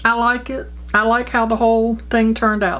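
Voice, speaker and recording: There is audible room echo as a woman with a fairly high pitch speaks at a moderate pace. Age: 60s. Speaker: beauty vlogger. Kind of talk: makeup tutorial. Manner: casual, chatty.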